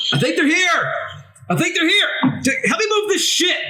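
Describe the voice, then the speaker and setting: A gruff, put-on character voice at extremely high pitch, moderate pace, with audible echo. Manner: urgent, excited.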